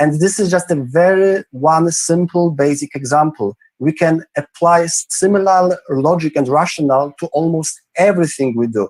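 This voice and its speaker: This man speaks in a Polish accent at a moderate pace, with a fairly high pitch and ordinary pitch variation. The sound is dry and close, with no echo. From Poland, Krakow. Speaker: entrepreneur. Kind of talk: interview. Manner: halting.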